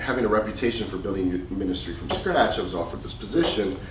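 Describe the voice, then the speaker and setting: With an American accent and a very deep, low pitch, a man talks at a very fast pace amid noticeable background noise and audible room echo. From US Midwest, Chicago. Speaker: youth minister. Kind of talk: presentation to youth ministers. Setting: conference presentation with audience.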